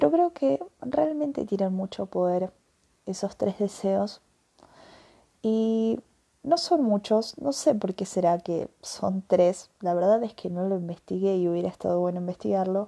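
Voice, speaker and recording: A woman with a dark, mellow tone and a medium pitch talks at a fairly slow pace, her intonation lively. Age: 20s. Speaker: podcast host. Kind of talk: personal reflection monologue. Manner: hesitant, many fillers.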